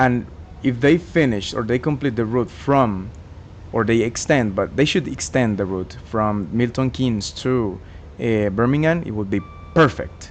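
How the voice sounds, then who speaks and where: Over noticeable background noise, a man talks at medium pitch and a moderate pace with lively intonation. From Colombia. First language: Spanish. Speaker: gaming YouTuber. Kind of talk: gameplay commentary. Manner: halting, many fillers and self-corrections.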